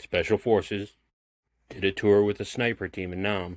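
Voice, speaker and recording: A man puts on a character voice, fairly low and monotone with flat intonation, at a moderate pace. The recording is very clean, dry and close with no echo and a silent background. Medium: read story. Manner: gruff, blunt.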